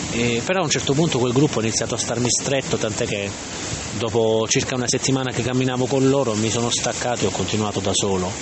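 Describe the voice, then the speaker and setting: Noticeable background noise sits under the recording. A man talks at a very fast pace. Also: medium pitch for a man, ordinary pitch variation. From Salento, southern Italy. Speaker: vlogger and podcaster. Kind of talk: casual monologue, personal storytelling. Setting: outdoors by the sea. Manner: hesitant, self-correcting.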